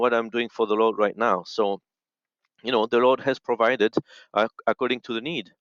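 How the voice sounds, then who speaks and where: Recorded with a dry, close sound, no echo and a quiet background, a man speaks at medium pitch with a French accent. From French-speaking Switzerland. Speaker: audio engineer in missions. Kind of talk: interview. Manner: halting, many fillers.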